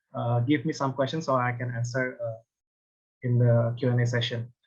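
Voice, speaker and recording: This man talks at a fairly quick pace with an Indonesian accent. His voice is somewhat breathy. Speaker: design lecturer. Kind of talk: conference presentation. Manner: halting, many hesitations.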